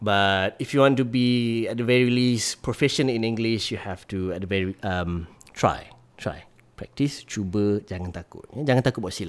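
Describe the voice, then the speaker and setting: A man speaks with a Malaysian accent at a medium pitch. His pace is moderate and his pitch varies in an ordinary way. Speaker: social media personality. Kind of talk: casual chat. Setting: host's home.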